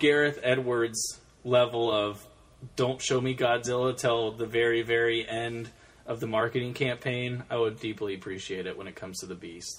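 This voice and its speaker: A man speaks in a normal speaking voice at a medium pitch and a moderate pace. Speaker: podcast host. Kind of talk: casual chat.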